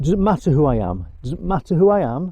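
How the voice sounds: A man speaks fast at a fairly high pitch, his dark, mellow tone carrying a slightly husky edge and big pitch swings.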